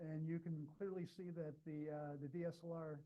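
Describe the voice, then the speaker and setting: A man's dark, mellow tone in a monotone, flat delivery. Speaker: imaging engineer, seminar speaker. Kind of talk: lecture. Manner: fast.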